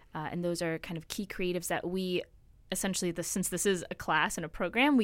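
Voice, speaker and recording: A woman's normal speaking voice, fairly low in pitch, at a fairly quick pace, in a very clean recording with a silent background. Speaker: film production student. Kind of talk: casual chat. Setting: studio.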